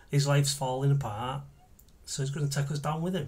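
A man's voice comes across as somewhat breathy. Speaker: actor in monologue. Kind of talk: dramatic monologue. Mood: angry, bitter. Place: home room.

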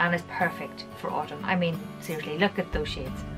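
A woman speaking at a fairly quick pace over clear background music. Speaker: beauty vlogger. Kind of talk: casual vlog chat. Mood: cheerful, chatty. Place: home room.

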